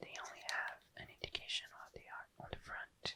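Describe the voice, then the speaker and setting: Whispering at a moderate pace, a man speaks against noticeable background noise. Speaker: ASMR creator. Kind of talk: ASMR item description. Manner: whispered, soft-spoken.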